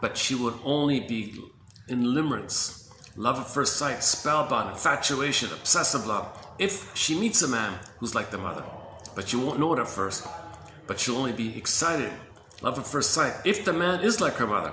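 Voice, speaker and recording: His voice is fairly high for a man and swings very widely in pitch. The room echoes audibly, and there is noticeable background noise. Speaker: compiler of therapy quotes, video presenter. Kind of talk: casual talk-to-camera monologue. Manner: fast, enthusiastic.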